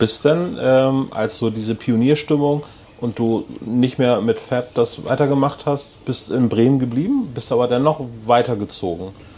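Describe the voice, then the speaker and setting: A man with a plain, everyday voice talks at a fairly slow pace and medium pitch, with ordinary pitch variation. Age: 40s. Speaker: podcast host. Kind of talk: casual chat. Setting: on location in a harbour.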